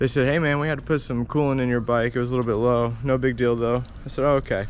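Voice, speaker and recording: Medium-pitched male voice with fairly even intonation. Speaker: motorcycle vlogger. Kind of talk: casual vlog talk. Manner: monotone.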